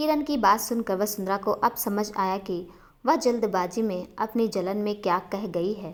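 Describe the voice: Simply plain reading aloud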